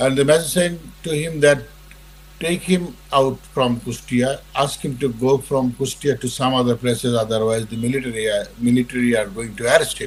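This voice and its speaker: A somewhat breathy man talks at a moderate pace, his medium pitch showing ordinary variation. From Bangladesh. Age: 70s. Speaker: war veteran. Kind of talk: interview. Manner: halting.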